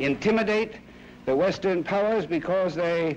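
A man with an American accent speaks at a moderate pace in a high pitch. His pitch varies in an ordinary way over light background noise. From United States. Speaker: UN ambassador. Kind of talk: official public statement. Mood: grave, stern. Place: hall. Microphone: podium.

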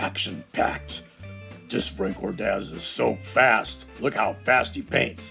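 Faint music plays behind a put-on character voice delivered at a fairly slow pace. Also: man, very deep, low pitch for a man. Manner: dramatic announcing.

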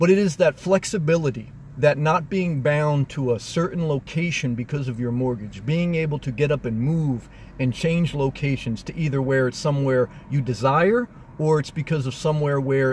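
A man talks at a moderate pace with ordinary pitch variation. The sound is dry with no echo, and light background noise is present. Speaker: vlogger living in his car. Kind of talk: casual vlog chat. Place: car. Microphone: phone near.

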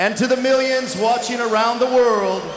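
A man talks in a monotone, flat intonation. Noticeable background noise runs behind him. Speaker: professional ring announcer. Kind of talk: boxing ring announcement. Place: stadium. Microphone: handheld.

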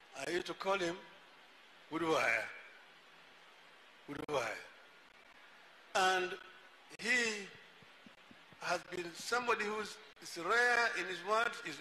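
A man's raised, projected voice with ordinary pitch variation, a fairly slow pace, long and frequent pauses, and light background noise. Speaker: speaker. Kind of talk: public speech tribute. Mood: warm, respectful remembrance. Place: tent. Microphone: handheld.

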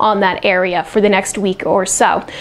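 A woman with an American accent talks at a fairly quick pace. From US Northeast, South Jersey. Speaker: weather forecaster. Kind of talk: friendly bedtime weather report, casual local-TV forecast delivered straight to viewers. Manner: easygoing and conversational, with scattered filler uhs; speeds up into long run-on stretches when tracking the hurricane. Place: studio. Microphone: lapel.

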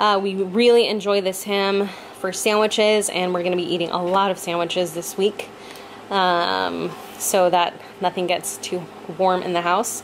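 Against light background noise, a woman talks fairly slowly with fairly even intonation. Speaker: home vlogger. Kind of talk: casual vlog chat. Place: home room.

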